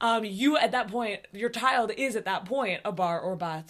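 Very clean audio of a woman, the background silent. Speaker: synagogue clergy and podcast co-host. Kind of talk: casual podcast chat and interview. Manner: fast.

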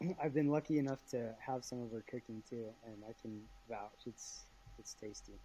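A man with a dark, mellow, somewhat breathy tone speaks at medium pitch and a moderate pace, with ordinary pitch variation and big swings in loudness. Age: 30s. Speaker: small business owner, cyclist. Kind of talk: casual chat. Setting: video call.

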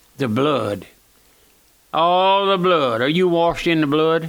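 A man speaks with a Louisiana accent. His pace is fairly slow and his pitch variation ordinary. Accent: Southern US (Louisiana). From US South, Louisiana. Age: 80s+. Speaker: radio preacher. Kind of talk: radio sermon. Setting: radio broadcast.

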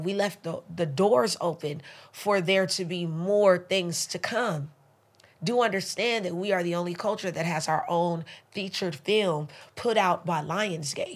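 This woman has a medium pitch and an animated tone. She talks at a fairly slow pace with ordinary pitch variation. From South Central Los Angeles (Crenshaw District), partly Belize. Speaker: dancer and dance lecturer. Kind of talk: casual interview conversation. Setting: studio with microphones.

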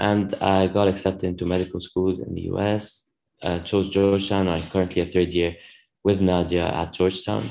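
Over a quiet background, a man speaks at a moderate pace. His very deep, low voice stays monotone and flat. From Lebanon. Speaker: medical student. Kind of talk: interview.

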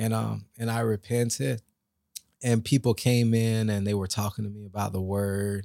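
A man speaks in a normal speaking voice at a moderate pace, fairly low in pitch with fairly even intonation. The recording is very clean, with a silent background. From Lake Worth, Florida. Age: 40s. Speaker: barber. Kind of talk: testimony.

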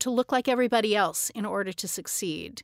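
A woman with an American accent speaks at a medium pitch with fairly even intonation, in an unremarkable speaking voice. The recording is very clean, with a silent background. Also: dry, close sound with no echo. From Arizona, US. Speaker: dance professor. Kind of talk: interview.

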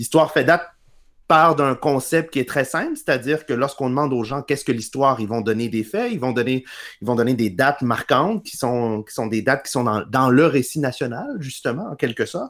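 An unremarkable speaking voice: a man talks at a fairly quick pace with medium pitch and ordinary pitch variation, recorded very cleanly against a silent background. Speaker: historian and radio columnist. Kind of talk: interview.

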